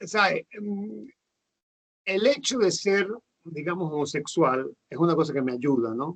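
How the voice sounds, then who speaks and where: A man's high voice, fairly slow, with long, frequent pauses and very wide pitch swings. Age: 60s. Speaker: nurse. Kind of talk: casual interview. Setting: video call. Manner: halting, many fillers.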